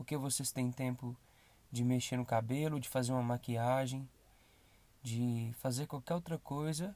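A man speaks at a medium pitch with fairly even intonation. He takes a fairly slow pace. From Brazil, Belo Horizonte. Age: 20s. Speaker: podcast host. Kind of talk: motivational monologue.

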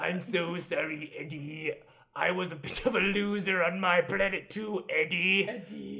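A man puts on a character voice that is raspy and high-pitched. He talks at a fairly slow pace. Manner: funny voice, mock-sincere.

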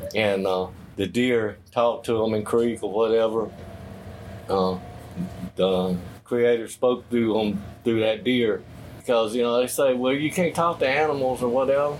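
With an American accent, a man speaks at a medium pitch and moderate pace, his loudness very even, his pitch variation ordinary, and his pauses long and frequent. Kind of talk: interview. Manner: halting.

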